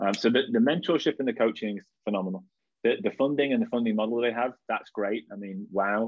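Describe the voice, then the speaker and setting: With a slight Lancashire accent, a man talks at a medium pitch with ordinary pitch variation. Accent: northern English (Lancashire), slight. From Blackpool, northwest England. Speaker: startup co-founder. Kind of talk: casual interview chat.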